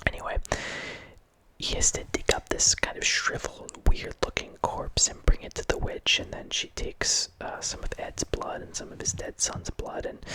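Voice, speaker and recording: A man whispers at a moderate pace with big swings in loudness over noticeable background noise. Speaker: horror movie ASMR host. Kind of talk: ASMR movie review ramble. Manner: whispered.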